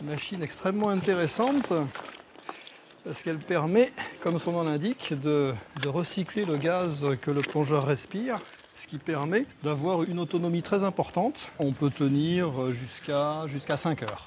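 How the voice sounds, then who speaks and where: Noticeable background noise sits behind the voice. A man speaks at a moderate pace in a fairly high pitch with ordinary pitch variation. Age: 50s. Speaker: cave diver. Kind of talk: documentary interview. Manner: halting, many hesitations.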